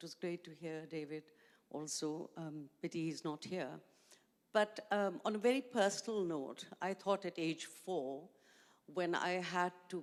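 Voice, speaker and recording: A woman with a Pakistani accent speaks at a fairly slow pace in a fairly low voice, her pitch varying in an ordinary way while her loudness swings widely. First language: Urdu. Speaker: education NGO founder. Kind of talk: panel discussion.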